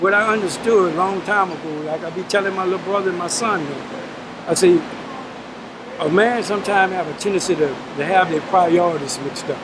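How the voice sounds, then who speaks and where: Over noticeable background noise, a man with a Louisiana accent talks at a fairly quick pace in a high voice with fairly even intonation. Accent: Southern US (Louisiana). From South Baton Rouge, Louisiana. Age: 60s. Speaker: prison inmate serving life sentence. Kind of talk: interview answer.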